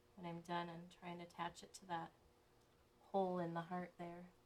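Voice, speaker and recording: At a fairly quick pace, a woman speaks in a monotone, flat intonation. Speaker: crafter live-streaming a chalk sign project. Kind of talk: live-stream craft tutorial. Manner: casual, chatty with fillers; louder while using the dryer.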